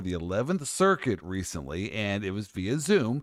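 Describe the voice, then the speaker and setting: An animated man with an American accent on a very clean recording against a silent background. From US Midwest. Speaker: podcast host, lawyer. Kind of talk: casual chat.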